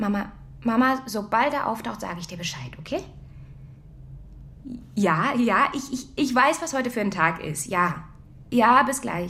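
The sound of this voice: In a put-on character voice, a woman speaks fairly high, with a bright, sharp tone. Her intonation is lively and her pace fairly slow.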